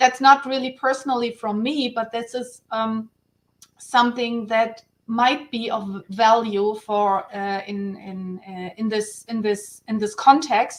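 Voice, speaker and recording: A fairly slow delivery in a German accent, fairly even intonation, big swings in loudness. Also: woman, fairly high pitch for a woman. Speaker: guest on online round table. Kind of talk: casual panel discussion. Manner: halting, many restarts.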